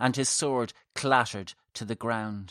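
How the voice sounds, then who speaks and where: A man with a plain, everyday voice and fairly even intonation, in a dry, close sound with no echo and a very clean recording with a silent background. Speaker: horror fiction podcaster and author. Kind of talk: horror mythology narration, scripted story reading. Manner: tense, hushed then urgent, vivid, building dread and breathless action.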